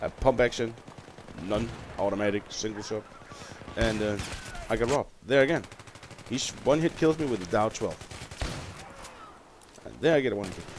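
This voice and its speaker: A medium-pitched man talks at a moderate pace, his pitch varying in an ordinary way, with noticeable background noise present. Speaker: gamer. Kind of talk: gameplay commentary. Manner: casual.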